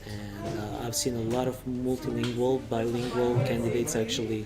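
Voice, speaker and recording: In a Serbian accent, a man of medium pitch speaks with fairly even intonation, his dark, mellow tone somewhat breathy amid audible room echo. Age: 30s. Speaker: recruitment consultant. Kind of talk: interview.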